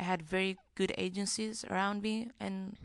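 A woman speaks with a Greek accent at a fairly low pitch. The background is quiet. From central Greece, small mountain town. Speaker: singer. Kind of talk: interview. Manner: hesitant, many fillers.

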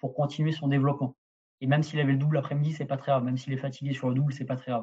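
A man speaks at a fairly high pitch in a monotone, flat delivery. His tone is dark and mellow and somewhat breathy. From southern France. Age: 30s. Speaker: tennis strength and conditioning coach. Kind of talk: podcast interview.

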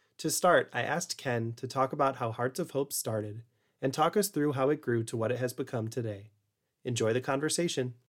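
A man talks at a medium pitch and a fairly quick pace in an ordinary speaking voice, with ordinary pitch variation. The recording is very clean, with a silent background. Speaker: podcast host. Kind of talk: interview.

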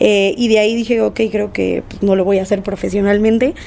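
At a fairly quick pace, a woman talks at a fairly high pitch amid noticeable background noise. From Argentina. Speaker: DJ and producer. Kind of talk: casual interview.

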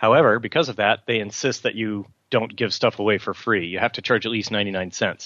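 Against a quiet background, a man with a fairly low pitch talks at a fairly quick pace with fairly even intonation. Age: 40s. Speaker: novelist. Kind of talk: interview. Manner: halting.

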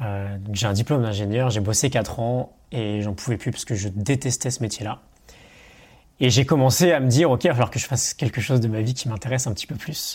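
A man's somewhat breathy voice at a medium pitch, fairly quick, with ordinary pitch variation, on a very clean recording with a silent background. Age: 30s. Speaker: online coach and entrepreneur. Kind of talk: casual interview. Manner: hesitant, with fillers.

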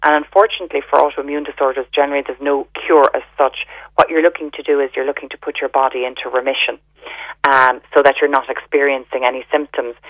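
A woman's very deep, low voice, very fast and monotone and flat, in an Irish accent. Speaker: health store owner. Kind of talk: radio interview.

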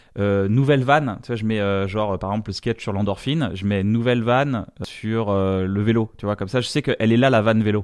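Speaking at a fairly quick pace with hardly any pauses, a man keeps a fairly low pitch and fairly even intonation. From northern France (Reims). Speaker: comedian. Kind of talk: casual chat. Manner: halting.

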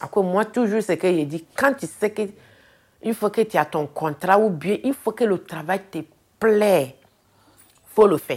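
A woman talks at a fairly slow pace with a medium pitch and lively intonation. Her speech has long, frequent pauses. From Ivory Coast, Abidjan. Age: 40s. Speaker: hospital cleaner. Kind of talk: interview testimony.

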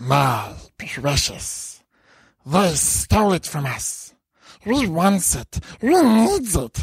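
A put-on character voice at a middle pitch, very slow in pace, with long, frequent pauses. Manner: craving, possessive.

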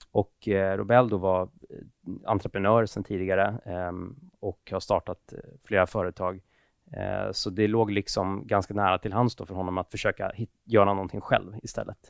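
Speaking at a moderate pace, a man with a fairly low pitch delivers his words in a monotone, flat intonation on a very clean recording with a silent background. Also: dry, close sound with no echo. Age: 30s. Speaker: tech entrepreneur. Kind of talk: casual interview. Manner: hesitant.

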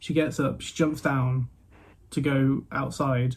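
A somewhat breathy man with a medium pitch, a slight Midlands accent, fairly even intonation and a fairly slow pace. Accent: English Midlands, light. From Midlands, England. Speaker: podcast host. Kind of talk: casual interview chat. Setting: remote recording with older microphone.

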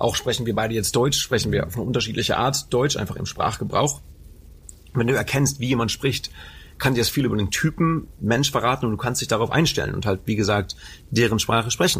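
With an unremarkable speaking voice, a man talks at a fairly quick pace in a medium pitch, showing ordinary pitch variation. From Germany, Lower Rhine area (Anholt/Bocholt). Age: 20s. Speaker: mentalist and hypnotist. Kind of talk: casual interview. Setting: theatre venue.

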